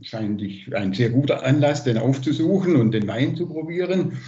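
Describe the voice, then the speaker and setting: Here a man's voice sounds somewhat breathy, with ordinary pitch variation. The background is quiet. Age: 60s. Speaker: liaison for Italian twin town; guest. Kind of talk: casual report. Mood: warm, enthusiastic. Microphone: video call.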